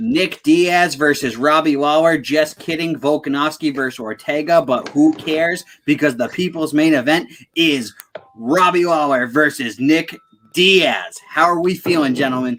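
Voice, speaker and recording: This man has a plain, everyday voice at a fairly high pitch. His pace is moderate. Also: ordinary pitch variation. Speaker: sports podcast host. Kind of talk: casual live-stream chat. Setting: live stream.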